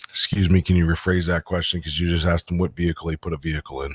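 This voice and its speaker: A man puts on a character voice, raspy and very deep, low in pitch, with monotone, flat intonation. He talks very fast, and the sound is dry and close with no echo. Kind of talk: mock courtroom speech. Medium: game stream. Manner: brisk, authoritative.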